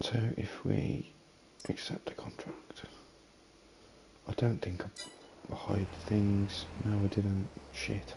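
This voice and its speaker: A man whispers at a very slow pace with long, frequent pauses. Background noise is noticeable. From Britain. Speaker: video game streamer. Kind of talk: gameplay commentary. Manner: casual, thinking aloud.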